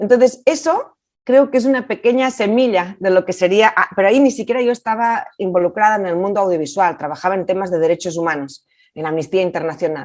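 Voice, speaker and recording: A woman talks with lively intonation at a fairly quick pace in a Catalan accent. The background is quiet. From Catalonia, Spain. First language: Catalan (speaking Spanish). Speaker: film director. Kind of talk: interview. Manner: hesitant.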